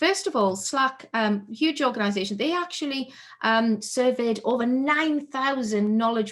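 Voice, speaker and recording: A woman's high-pitched voice with lively intonation at a fairly slow pace, on a very clean recording with a silent background. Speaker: keynote speaker. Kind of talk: conference keynote talk.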